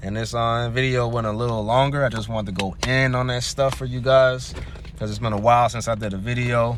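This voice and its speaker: A man talks at a fairly quick pace in an animated tone. There is noticeable background noise. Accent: slight Southern US. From US South. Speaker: astrology and tarot youtuber. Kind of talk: casual tarot reading monologue. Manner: casual, slangy, animated.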